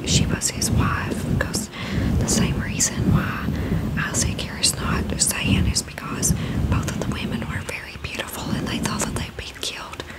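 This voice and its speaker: A woman's whisper at a moderate speed over noticeable background noise. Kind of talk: devotional commentary. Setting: studio, microphone with fluffy cover.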